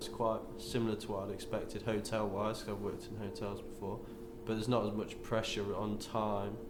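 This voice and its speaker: Against noticeable background noise and audible room echo, a man speaks at a fairly quick pace in a fairly low, monotone, flat voice. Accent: East Midlands. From England, Nottingham (East Midlands). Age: 20s. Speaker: backpacker and temple volunteer. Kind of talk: interview. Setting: in a temple kitchen. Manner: casual, with many fillers.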